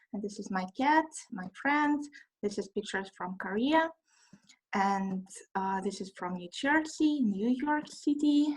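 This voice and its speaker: A woman with a Russian accent speaks at a fairly slow pace in a fairly high pitch. Her voice is somewhat breathy, and her intonation is lively. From Russia, Moscow. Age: 20s. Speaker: trainee. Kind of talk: self-introduction presentation. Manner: halting.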